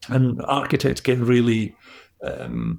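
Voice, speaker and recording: Speaking with a Scottish accent, a man of medium pitch keeps his intonation fairly even. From Scotland. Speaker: business coach. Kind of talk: interview answer.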